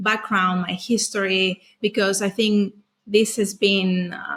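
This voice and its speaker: Bright and sharp in tone, a woman with a Greek accent speaks at a very slow pace, a medium pitch and ordinary pitch variation. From Greece. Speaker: trauma specialist. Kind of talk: podcast interview.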